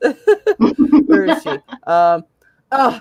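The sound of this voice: This put-on character voice carries an angry tone. Its pitch swings very widely.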